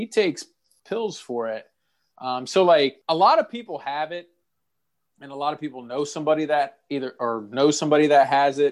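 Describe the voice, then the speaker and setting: A man with an American accent and an unremarkable speaking voice talks at a fairly quick pace and fairly high pitch, with lively intonation and big swings in loudness, in a very clean recording over a silent background. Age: 30s. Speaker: podcast co-host. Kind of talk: casual chat.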